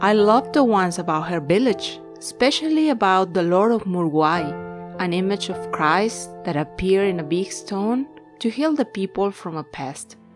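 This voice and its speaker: A woman talks at a moderate pace with hardly any pauses. Music plays in the background. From Peru. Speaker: writer. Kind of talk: personal digital story narration.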